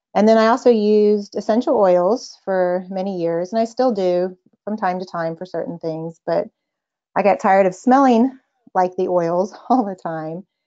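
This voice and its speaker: A woman with a Texan accent speaks at a moderate pace with ordinary pitch variation. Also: medium pitch for a woman. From Texas. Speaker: mother sharing homeopathy experience. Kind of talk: casual interview chat.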